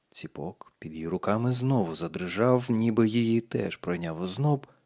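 Text is read aloud here in a natural voice.

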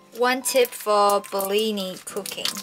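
Speech moves at a very slow pace while clear music plays in the background. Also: woman. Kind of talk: cooking tutorial. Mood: cheerful and relaxed. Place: kitchen.

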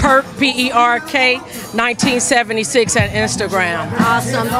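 At a very slow pace and with ordinary pitch variation, a woman talks in a dry sound with no echo while clear music plays in the background. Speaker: interviewee. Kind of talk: interview answer. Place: street. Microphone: handheld.

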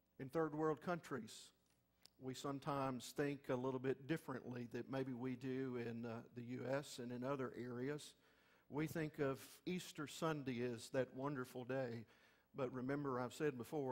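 With fairly even intonation, a man delivers his words at a moderate pace. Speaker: pastor. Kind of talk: sermon. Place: church.

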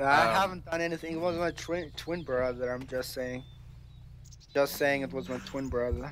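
Over light background noise, a man puts on a whiny character voice at medium pitch, moderate pace and ordinary pitch variation. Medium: machinima. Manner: whiny, evasive, stressed.

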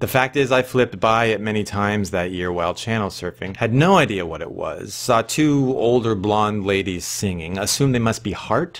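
At a moderate pace with hardly any pauses, a man speaks in a fairly low pitch with ordinary pitch variation. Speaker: vlogger. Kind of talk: casual vlog chat. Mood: wry, humorous storytelling. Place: home room. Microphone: webcam.

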